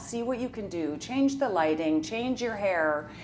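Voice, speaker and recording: A woman with a Canadian accent speaks at a moderate pace with very wide pitch swings, over noticeable background noise. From Saskatchewan, Canada. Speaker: reality TV personality. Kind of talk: casual chat.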